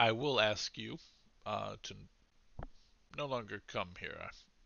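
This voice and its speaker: Using a put-on character voice at medium pitch, a man talks at a fairly slow pace with big swings in loudness. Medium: actual play. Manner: courteous, cool, condescending.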